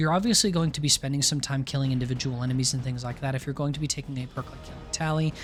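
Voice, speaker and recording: Music plays in the background as a man talks at a very fast pace. His voice sits at a medium pitch with fairly even intonation. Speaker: gaming video creator. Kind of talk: gaming guide commentary. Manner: casual.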